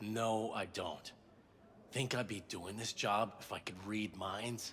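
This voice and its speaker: A man puts on a raspy character voice, fairly low in pitch and fairly even in intonation. He speaks fairly slowly over clear background noise. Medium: video game. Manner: sardonic, mocking.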